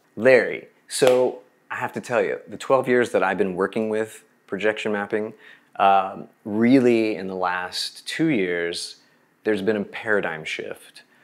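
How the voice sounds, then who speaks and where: A man with an ordinary speaking voice and a fairly low pitch speaks in an American accent at a fairly slow pace. His pitch varies in an ordinary way, his loudness swings widely, and the background is quiet. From Oklahoma. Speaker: visual artist. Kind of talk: interview. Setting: video call. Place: home room. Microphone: lapel.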